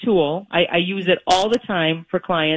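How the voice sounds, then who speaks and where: Dry and close with no echo, a woman speaks in a normal speaking voice at a fairly slow pace with ordinary pitch variation. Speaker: mortgage lender and credit expert. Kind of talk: radio interview chat about real estate and credit. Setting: phone call.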